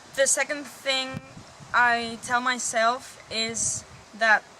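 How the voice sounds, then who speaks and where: A woman's fairly high, fairly even voice against noticeable background noise. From Spain. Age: 20s. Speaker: softball player. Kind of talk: interview. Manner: hesitant, many fillers.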